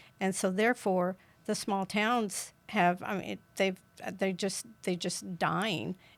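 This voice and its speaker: The woman's tone is bright and sharp, and she speaks fairly slowly. Her recording is very clean, and the background is silent. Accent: Kansas. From rural southeast Kansas, Bourbon County. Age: 70s. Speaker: political candidate. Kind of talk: interview.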